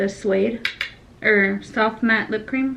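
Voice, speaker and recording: A woman's fairly high voice in an American accent at a very slow pace, with noticeable background noise. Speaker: flight attendant. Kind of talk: casual chat.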